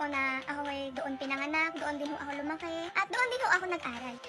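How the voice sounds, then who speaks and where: Over noticeable background noise, a woman with a Batangas accent speaks in a raised, projected voice, high in pitch with ordinary pitch variation, at a very fast pace. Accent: Batangas Tagalog. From Batangas, Philippines. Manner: loud, firm, raised almost shouting tone.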